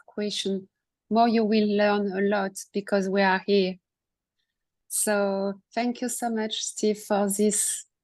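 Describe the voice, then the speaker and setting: A woman with a French accent speaks at a very slow pace against a quiet background. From France. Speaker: coach and author. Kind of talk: casual discussion. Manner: halting.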